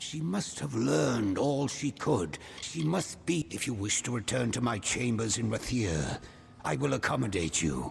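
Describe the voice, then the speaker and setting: Putting on a character voice, a man at medium pitch speaks at a moderate pace with very wide pitch swings over clear background noise. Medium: video game. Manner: grave, measured.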